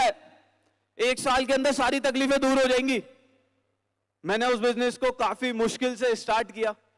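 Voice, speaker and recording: In a dry, close sound with no echo, a man talks at an extremely high pitch with fairly even intonation. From Delhi, India. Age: 20s. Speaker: network marketing distributor. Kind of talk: testimony speech. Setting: stage with audience. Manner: emotional, emphatic.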